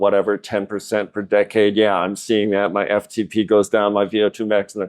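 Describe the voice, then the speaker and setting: This man has an unremarkable speaking voice with an American accent. His pitch is fairly low and his pace moderate. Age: 60s. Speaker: amateur cyclist. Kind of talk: podcast interview.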